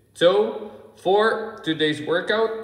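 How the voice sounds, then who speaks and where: A man is heard speaking with audible room echo. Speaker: fitness coach. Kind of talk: tutorial. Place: gym. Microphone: phone near.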